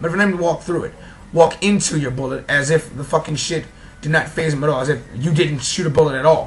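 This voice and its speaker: Amid noticeable background noise, a man with a New York accent speaks at a very fast pace, with a fairly high pitch and fairly even intonation. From New York City. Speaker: gaming vlogger. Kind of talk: casual rant.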